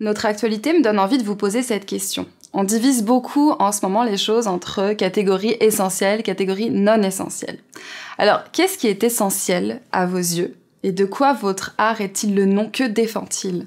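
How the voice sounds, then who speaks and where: With a plain, everyday voice, a woman talks at a moderate pace in a medium pitch and ordinary pitch variation. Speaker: interviewer. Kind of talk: interview questions.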